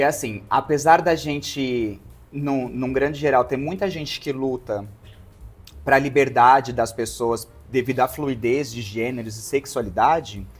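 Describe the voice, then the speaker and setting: The speech moves at a fairly slow pace with music behind it. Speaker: podcast guest sharing life story. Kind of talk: casual interview chat. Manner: expressive, effeminate mannerisms.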